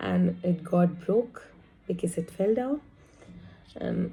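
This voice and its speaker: A woman's somewhat breathy voice, fairly low in pitch, with a dark, mellow tone. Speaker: vlogger. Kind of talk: casual vlog.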